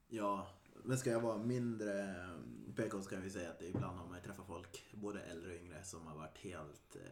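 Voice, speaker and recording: A man's very deep, low voice with ordinary pitch variation and big swings in loudness, in audible room echo. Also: moderate pace. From Sweden, Västergötland (Mariestad area). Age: 30s. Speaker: podcast host. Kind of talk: casual chat.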